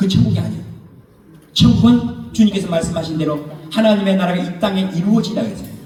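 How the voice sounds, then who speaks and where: Spoken at a fairly quick pace in an animated tone with lively intonation, the clip carries noticeable background noise and audible room echo. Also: man. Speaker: pastor. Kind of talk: sermon. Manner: fast.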